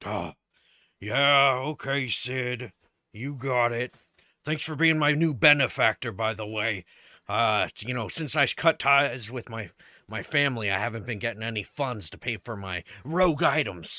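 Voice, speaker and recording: In a very clean recording with a silent background, a man does a raspy put-on character voice at medium pitch and a moderate pace. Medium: actual play. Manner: hesitant, halting.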